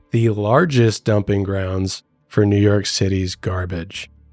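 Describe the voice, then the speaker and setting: With music in the background, a man speaks at a fairly low pitch and with fairly even intonation. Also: dry, close sound with no echo. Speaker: podcast co-host. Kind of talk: casual chat.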